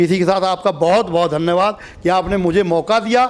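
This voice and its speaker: Against noticeable background noise, a man talks in a high pitch with ordinary pitch variation. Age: 50s. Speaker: masters athlete. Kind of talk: interview.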